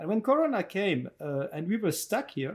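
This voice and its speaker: A man's dark, mellow voice with a French accent, on a very clean recording with a silent background. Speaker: entrepreneur and chocolate maker. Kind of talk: interview. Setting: on location.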